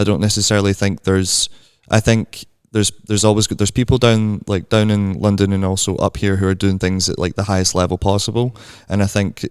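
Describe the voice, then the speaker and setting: With a Glasgow accent, a man speaks very fast in a flat monotone at a fairly low pitch. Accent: Scottish (Glasgow), audible. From Scotland. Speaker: barista and coffee content creator. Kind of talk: casual chat. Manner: hesitant, many fillers.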